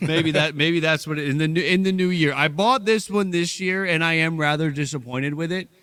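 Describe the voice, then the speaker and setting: Bright and sharp in tone, the speech runs at a fairly quick pace with hardly any pauses and ordinary pitch variation. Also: man, fairly high pitch for a man. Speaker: baseball podcast host. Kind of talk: casual chat. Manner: projects strongly to avoid cutting out.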